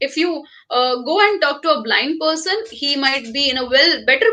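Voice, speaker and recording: With an Indian accent, a woman uses a raised, projected voice with a bright, sharp tone, high pitch and lively intonation at a moderate pace. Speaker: professor. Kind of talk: lecture. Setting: webinar.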